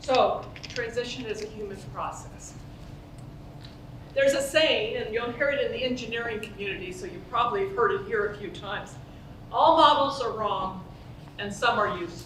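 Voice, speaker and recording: With lively intonation and a fairly high pitch, a woman speaks at a moderate pace, leaving long, frequent pauses, in a room with audible echo. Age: 70s. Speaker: organizational psychologist, conference speaker. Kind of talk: conference talk. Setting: stage with audience, conference.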